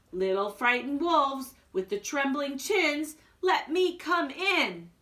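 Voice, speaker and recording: Using a put-on character voice, a woman speaks at a high pitch with very wide pitch swings. Her pace is fairly slow. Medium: read story.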